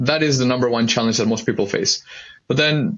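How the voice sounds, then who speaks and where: This man's voice sits at a medium pitch with ordinary variation. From Mexico. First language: Spanish. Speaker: mortgage broker. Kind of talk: interview.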